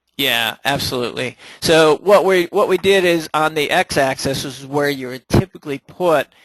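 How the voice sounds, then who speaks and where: A man speaks with ordinary pitch variation in a dry, close sound with no echo. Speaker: software trainer. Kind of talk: webinar tutorial. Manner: many fillers (uh, um).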